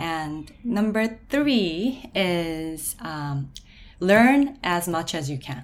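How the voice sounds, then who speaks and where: Talking at a very slow pace, a woman with a Korean accent moves through very wide pitch swings. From South Korea. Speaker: permanent makeup artist and beauty business owner. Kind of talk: casual interview.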